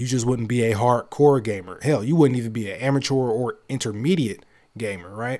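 In a very clean recording with a silent background, a man with a dark, mellow tone speaks at a fairly quick pace. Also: medium pitch for a man, ordinary pitch variation. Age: 20s. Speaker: gaming podcast host. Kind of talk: casual solo commentary. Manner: animated.

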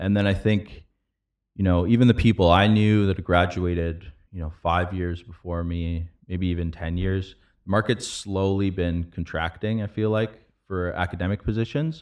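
Intonation stays fairly even throughout. The pace is moderate. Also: man, very deep, low pitch for a man. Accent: Canadian. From Canada, London, Ontario. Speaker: podcast host, biotech scientist. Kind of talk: casual interview.

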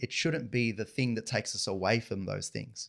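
In an Australian accent, the speaker keeps a moderate pace. The recording is very clean, with a silent background. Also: man. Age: 40s. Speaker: financial advisor and family business co-owner. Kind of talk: interview conversation.

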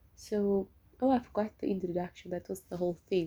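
With fairly even intonation, a woman talks at a medium pitch in a dark, mellow tone. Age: 20s. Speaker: podcaster. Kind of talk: casual solo monologue. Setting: at home.

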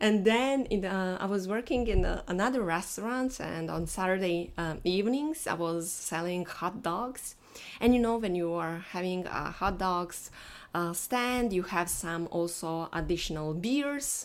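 With a non-native accent, a woman speaks at a fairly slow pace. Her pitch is medium and her intonation lively. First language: not English. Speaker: SEO mindset coach. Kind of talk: solo podcast monologue. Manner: halting, many fillers.

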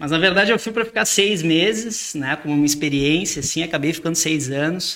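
A man with a normal speaking voice talks at a fairly quick pace with hardly any pauses, using a fairly high pitch with ordinary pitch variation. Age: 30s. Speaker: businessman. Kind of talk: casual chat.

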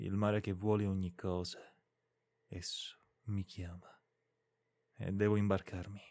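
In a solemn tone, a man talks at a fairly slow pace with long, frequent pauses, his fairly low voice held to a monotone, flat intonation. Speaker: podcast reader of literary classics. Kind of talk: audiobook-style literary reading aloud, solemn and lyrical. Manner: slow, measured, solemn and expressive, with a melancholic tone; formal, poetic cadence with deliberate pauses.

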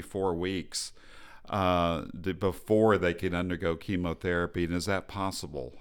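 A man's very deep, low voice with an American accent, on a very clean recording with a silent background. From Texas. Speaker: fertility specialist doctor. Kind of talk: interview. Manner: halting.

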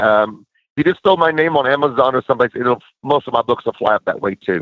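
An unremarkable speaking voice from a man, fairly high in pitch and fairly quick, with ordinary pitch variation. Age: 50s. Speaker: minister and author. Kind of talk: interview.

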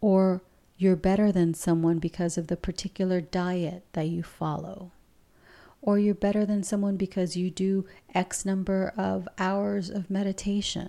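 Woman's medium-pitched voice, dark and mellow, monotone and flat, at a fairly slow pace on a very clean recording with a silent background. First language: Spanish. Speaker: spiritual teacher and podcast host. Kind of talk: spiritual talk, monologue.

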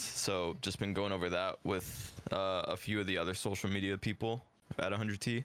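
At a fairly quick pace, a man talks in a plain, everyday voice with a fairly low pitch. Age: 20s. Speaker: social media content creator. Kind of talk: casual chat.

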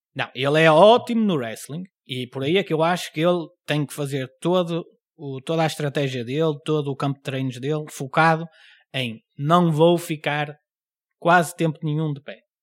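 A man with a European Portuguese accent, fairly high pitch and ordinary pitch variation, at a moderate pace, in a very clean recording with a silent background and a dry, close sound with no echo. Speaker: podcast host and stand-up comedian. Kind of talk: casual chat.

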